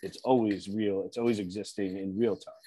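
A man in a normal speaking voice, fairly low in pitch, at a fairly quick pace, with ordinary pitch variation. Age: 40s. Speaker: podcast co-host. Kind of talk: casual interview.

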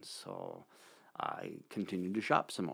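This man has an American accent. The variation in his pitch is ordinary. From Montana, US. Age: 60s. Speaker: church community member sharing life story. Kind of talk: interview. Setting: studio. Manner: halting.

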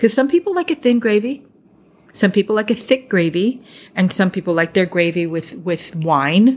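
A woman with a New Jersey accent speaks in a medium pitch at a moderate pace, her animated, enthusiastic tone swinging very widely in pitch. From US Northeast. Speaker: podcast host. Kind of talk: casual interview chat.

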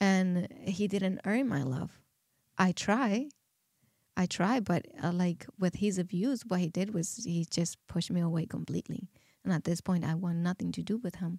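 A woman with a Spanish accent, somewhat breathy, with a dark, mellow tone at a medium pitch, ordinary pitch variation and a moderate pace, in a dry, close sound with no echo on a very clean recording with a silent background. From Dominican Republic, rural countryside. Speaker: podcast guest. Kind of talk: testimony. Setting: studio. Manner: halting.

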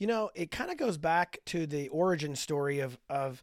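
A man with a normal speaking voice, fairly high in pitch, with ordinary pitch variation, on a very clean recording with a silent background. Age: 50s. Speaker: author and men's ministry leader. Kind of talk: casual interview.

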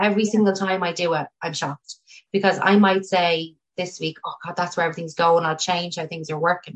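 Fairly quick and monotone, a woman with a Dublin accent talks at a fairly low pitch with flat intonation. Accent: Irish (Dublin). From Ireland, Tallaght (Dublin). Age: 30s. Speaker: chartered accountant and business owner. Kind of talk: casual interview.

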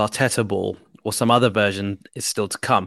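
A man with a British accent against a quiet background. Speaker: football podcast host. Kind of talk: casual chat.

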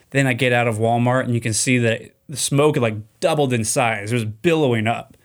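On a very clean recording with a silent background, a man speaks in a normal speaking voice at a medium pitch and a moderate pace. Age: 30s. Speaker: podcast host. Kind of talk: casual solo podcast monologue. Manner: casual, filler-heavy.

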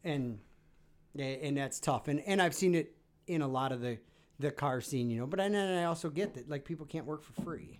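A man speaks with a plain, everyday voice at a fairly high pitch. His pace is fairly quick, with ordinary pitch variation. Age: 30s. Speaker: car content creator. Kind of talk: casual chat. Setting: studio.

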